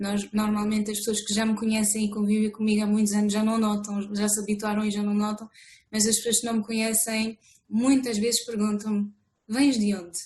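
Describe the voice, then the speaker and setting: Speaking at a fairly quick pace, a woman with a slight French accent sounds somewhat breathy, her intonation flat and monotone. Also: fairly high pitch for a woman. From France. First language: French (speaking Portuguese). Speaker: author. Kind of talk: interview. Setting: video call. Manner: hesitant, many fillers.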